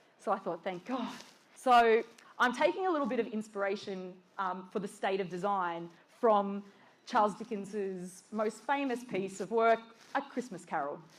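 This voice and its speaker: Speaking at a moderate pace with an Australian accent, a woman has a medium-pitched voice. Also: ordinary pitch variation. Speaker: design director. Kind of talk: conference talk.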